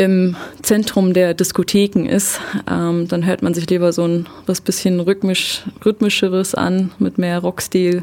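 Speaking at a fairly slow pace, a woman with a fairly low pitch keeps her intonation monotone and flat. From southern Germany (Ulm), born in eastern Germany. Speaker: mechatronics technician. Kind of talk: radio interview.

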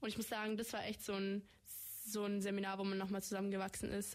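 A woman speaks at a very fast pace. Her medium-pitched voice stays monotone and flat. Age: young (18). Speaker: federal volunteer service participant. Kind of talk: radio interview. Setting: radio studio.

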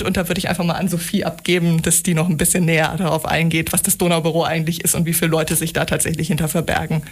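With noticeable background noise behind her, a woman speaks very fast in a fairly low voice. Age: 30s. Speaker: EU information centre coordinator. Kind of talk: radio interview. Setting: radio studio.

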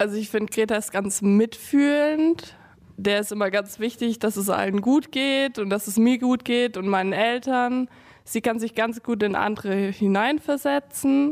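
A woman speaks fairly slowly in a plain, everyday voice, fairly high in pitch with ordinary pitch variation. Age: young (18). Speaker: sister of a teen with Tourette. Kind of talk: interview.

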